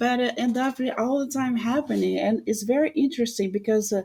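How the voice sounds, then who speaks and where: Speaking in a Brazilian accent, a woman uses a high pitch, ordinary pitch variation and a moderate pace. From Rio de Janeiro, Brazil. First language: Portuguese. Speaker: samba teacher and dancer. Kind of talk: podcast interview answer.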